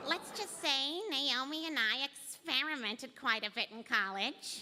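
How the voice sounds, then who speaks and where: A put-on character voice sounds female and is pitched high. It moves at a moderate pace over clear background noise. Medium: stage.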